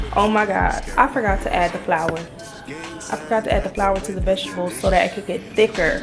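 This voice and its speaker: A woman with an American accent at a fairly quick pace, ordinary pitch variation, and clear music playing behind her. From New Jersey. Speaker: vlogger. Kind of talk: casual vlog talk while cooking. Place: kitchen. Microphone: phone near.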